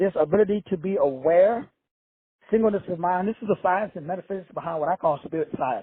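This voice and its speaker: A fairly quick, high-pitched male voice with ordinary pitch variation. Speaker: spiritual teacher and self-help author. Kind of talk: livestream teaching talk. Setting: hotel room. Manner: quiet, using inside voice.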